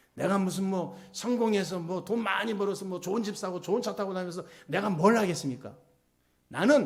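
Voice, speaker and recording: There is audible room echo around a man whose high-pitched voice moves at a fairly quick pace. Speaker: pastor. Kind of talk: sermon. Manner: stiff, hard-edged delivery; emphatic, not soft-spoken.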